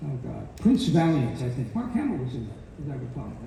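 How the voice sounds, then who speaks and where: Noticeable background noise sits behind a man with a fairly high pitch. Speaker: voice actor and voice director. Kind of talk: convention panel talk.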